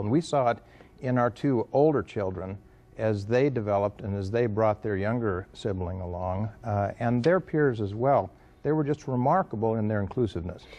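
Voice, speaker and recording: A man speaks with lively intonation at a moderate pace. His is a plain, everyday voice, pitched medium. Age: 60s. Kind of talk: interview.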